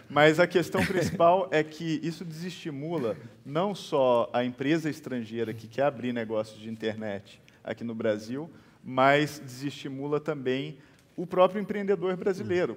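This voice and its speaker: Speaking with a Minas Gerais accent, a man with a fairly high pitch uses lively intonation and big swings in loudness at a fairly slow pace. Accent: Minas Gerais regional Brazilian Portuguese. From Minas Gerais, Brazil.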